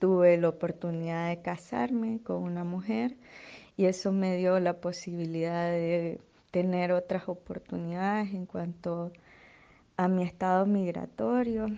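Against a quiet background, a woman speaks at a fairly slow pace in a dark, mellow tone. Her fairly low pitch shows ordinary variation. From Nicaragua, Estelí. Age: 20s. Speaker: theatre artist and activist. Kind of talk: interview testimony.

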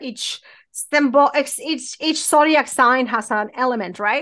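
A woman projects a raised voice with a high pitch and a bright, sharp tone. The background is quiet. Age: 40s. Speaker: spiritual practitioner. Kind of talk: interview conversation.

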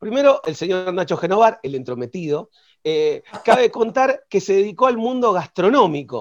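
A man with an Argentine accent talks at a moderate pace. His high voice moves through very wide pitch swings. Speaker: radio co-host. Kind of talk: radio interview.

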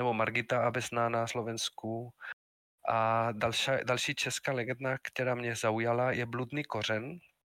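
With a Spanish accent, a man talks at a moderate pace and a medium pitch in a bright, sharp tone. His intonation is monotone and flat, and the sound is dry and close with no echo. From Spain, Madrid. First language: Spanish (speaking Czech). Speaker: university lecturer and game publisher. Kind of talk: casual interview.

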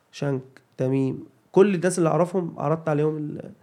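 A man keeps a moderate pace and fairly even intonation, his voice sitting fairly high. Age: 30s. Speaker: comedian and video creator. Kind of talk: casual chat.

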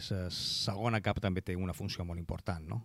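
In a very clean recording with a silent background, a man with a Mallorcan accent speaks at a fairly quick pace, his very deep, low pitch carrying fairly even intonation. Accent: Mallorcan Catalan. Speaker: radio host. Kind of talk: radio interview.

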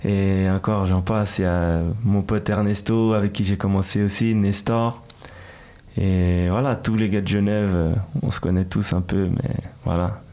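Over noticeable background noise, a man talks with a fairly low pitch, very even loudness and fairly even intonation. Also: fairly slow pace. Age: 20s. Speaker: rapper. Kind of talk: interview. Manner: casual, hesitant with repetitions.

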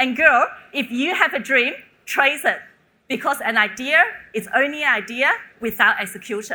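Her voice raised and projected, a woman speaks at a moderate pace with a high pitch, a bright, sharp tone and lively intonation. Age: 30s. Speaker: startup co-founder. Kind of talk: keynote talk. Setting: stage with audience.

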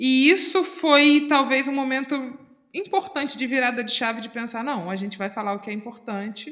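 Her high voice has a bright, sharp tone, and this woman speaks with lively intonation. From Brazil, Itacuruçá (Rio de Janeiro state). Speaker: podcast co-host. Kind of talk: casual chat.

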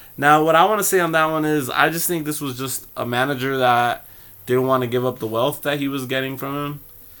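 On a very clean recording with a silent background, a man with a fairly high pitch speaks at a fairly quick pace. He has a plain, everyday voice and fairly even intonation. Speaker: podcast host. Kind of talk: casual chat.

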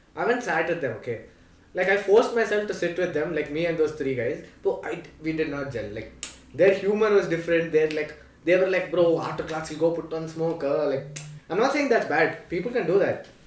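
A high-pitched man with lively intonation at a fairly quick pace, over noticeable background noise. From Delhi, India; South Indian family. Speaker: podcast host, college student. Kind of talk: casual chat.

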